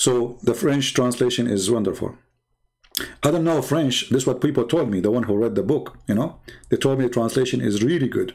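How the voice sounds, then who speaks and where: Ordinary pitch variation, a fairly quick pace and very even loudness. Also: man, medium pitch for a man. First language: not English. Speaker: religious debater and live streamer. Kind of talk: live stream monologue. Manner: animated, confrontational.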